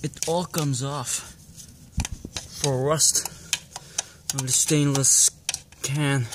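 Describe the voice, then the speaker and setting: Long, frequent pauses mark this very slow delivery, set against noticeable background noise. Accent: non-native. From Belgium. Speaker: motorcycle hobbyist YouTuber. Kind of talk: DIY tutorial. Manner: halting, many fillers.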